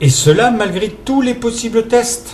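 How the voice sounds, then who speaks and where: With very wide pitch swings, a man speaks at a very slow pace over noticeable background noise. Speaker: presenter reading a text written by someone else. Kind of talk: reading of a reflective philosophical text.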